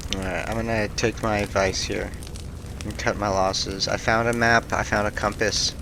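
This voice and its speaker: A man in a monotone, flat delivery at a moderate pace, with noticeable background noise. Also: fairly low pitch for a man. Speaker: gaming youtuber. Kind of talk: let's play commentary.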